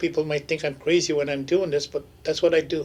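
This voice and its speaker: The speaker is a man. His pitch sits fairly high. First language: Ojibwe (Anishinaabemowin). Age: 70s. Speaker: elder, language speaker and traditional medicine maker. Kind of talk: radio interview, casual storytelling. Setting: radio studio. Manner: halting, many restarts.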